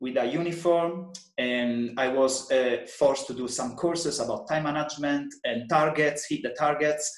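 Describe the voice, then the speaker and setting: Fairly high-pitched male voice with an Italian accent, moderate pace, ordinary pitch variation and audible room echo. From Italy (Sardinia). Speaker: personal trainer. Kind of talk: podcast interview. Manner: halting.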